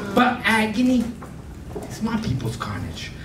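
A man speaks amid audible room echo and light background noise. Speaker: slam poet. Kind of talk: spoken-word poetry performance. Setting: live venue, arts center. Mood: angry, grieving protest. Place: stage.

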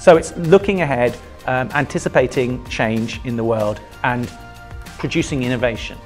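Faint music plays in the background. The voice holds a moderate pace with ordinary pitch variation. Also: man, medium pitch for a man. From United Kingdom. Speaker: music teacher. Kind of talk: interview answer. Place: classroom. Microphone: lapel.

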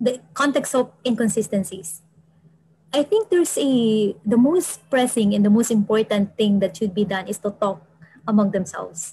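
A woman speaks at a moderate pace in a dark, mellow, somewhat breathy tone with a fairly high pitch and ordinary pitch variation. The sound is dry with no echo, and the background is quiet. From Philippines. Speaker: environmental planner and PhD student; presenter. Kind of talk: webinar presentation. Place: office.

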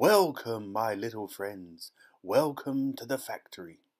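Putting on a character voice, a man speaks at medium pitch and a fairly slow pace with lively intonation. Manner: cheerful, welcoming.

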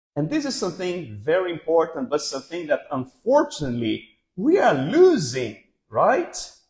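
A high-pitched man talks at a moderate pace with very wide pitch swings. The background is quiet. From Brazil. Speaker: pastor. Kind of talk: sermon. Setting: church. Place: hall. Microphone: studio mic.

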